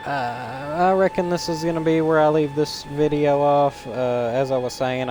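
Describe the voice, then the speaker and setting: A man speaks at a fairly slow pace with ordinary pitch variation. Music plays in the background. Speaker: gaming streamer. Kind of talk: let's play commentary. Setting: live stream.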